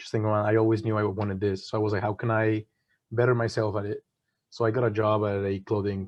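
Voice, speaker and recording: Very fast speech in a Spanish accent, with a monotone, flat delivery. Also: man. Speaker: management consultant. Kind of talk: webinar panel talk. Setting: online webinar.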